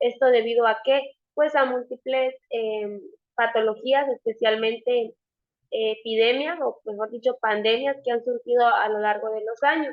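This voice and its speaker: A woman speaks at a high pitch. Her pace is fairly slow and her intonation fairly even. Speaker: nurse and nursing instructor. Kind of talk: online lecture. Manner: hesitant, many filler sounds.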